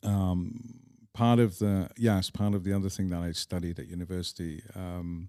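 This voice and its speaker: With an English accent, a man speaks at a moderate pace in a very deep, low pitch, his dark, mellow tone carrying fairly even intonation. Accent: English accent (noted in Scotland). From northern England, Manchester. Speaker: polo club owner. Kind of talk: interview conversation.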